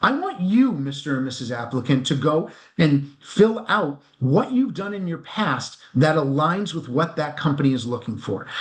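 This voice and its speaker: A man with a fairly high voice speaks with lively intonation and a somewhat breathy quality. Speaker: executive recruiter. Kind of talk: interview. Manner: fast.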